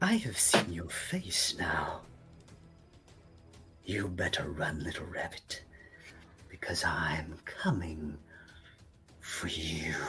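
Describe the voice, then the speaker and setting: A put-on character voice with a very deep, low pitch and a raspy sound, at a very slow pace with long, frequent pauses. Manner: menacing, taunting.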